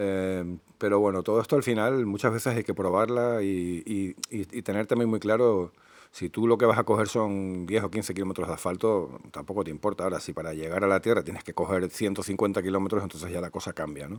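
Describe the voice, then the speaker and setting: A man talks at a fairly quick pace with hardly any pauses. His pitch is fairly low, with ordinary variation. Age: 50s. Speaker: motorcyclist, enduro rider. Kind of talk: improvised casual talk about motorbikes. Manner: hesitant, many fillers.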